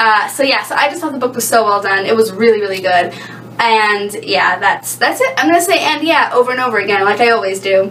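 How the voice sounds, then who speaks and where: A woman talks at a very fast pace with lively intonation, amid noticeable background noise and audible room echo. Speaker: book vlogger. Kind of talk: casual book review vlog. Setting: home bathroom. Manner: hesitant, many fillers and stumbles.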